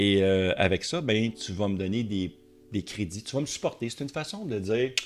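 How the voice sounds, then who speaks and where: A man in a Quebec accent, fairly low in pitch with lively intonation, on a very clean recording with a silent background. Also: moderate pace. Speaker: tech and car YouTuber. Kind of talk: casual video commentary. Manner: animated.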